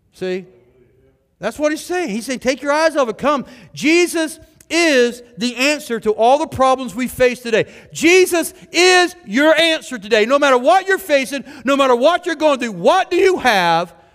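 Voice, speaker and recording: With music in the background, a man talks at a moderate pace, his extremely high pitch carried by lively intonation. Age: 50s. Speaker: pastor. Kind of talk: sermon. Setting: church. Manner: animated.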